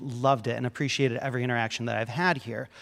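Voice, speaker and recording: Male speech captured on a very clean recording against a silent background. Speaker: panel moderator. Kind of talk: panel discussion moderation. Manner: loud.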